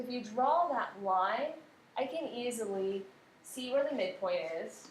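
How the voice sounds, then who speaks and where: A woman's high voice at a fairly slow pace, with ordinary pitch variation and audible room echo. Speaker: math teacher. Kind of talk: tutorial.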